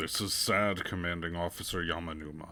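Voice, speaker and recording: A man puts on a character voice with a very deep, low pitch. He talks at a fairly quick pace in a monotone, flat intonation. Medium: read story. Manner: matter-of-fact.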